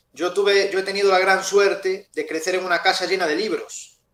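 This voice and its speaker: A man's high voice at a moderate pace. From Galicia, Spain (Ferrol). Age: 30s. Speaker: novelist. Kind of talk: interview.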